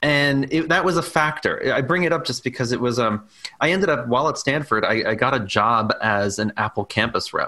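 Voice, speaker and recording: Using an ordinary speaking voice with an American accent, a man with a fairly high pitch talks at a fairly quick pace with lively intonation and very even loudness. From New York, Staten Island. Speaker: documentary filmmaker. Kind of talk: interview.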